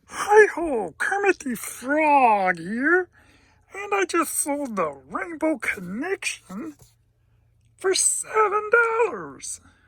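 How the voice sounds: Very slow and high-pitched, this put-on character voice makes very wide pitch swings.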